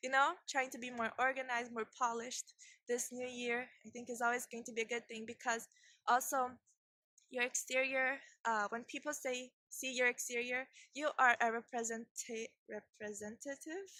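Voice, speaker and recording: A woman with a non-native accent speaks at a high pitch and moderate pace in a bright, sharp tone. Her intonation stays fairly even while her loudness swings widely, in a dry, close sound with no echo. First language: not English. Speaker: video blogger. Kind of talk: casual vlog talk. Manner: halting, repeats and restarts words.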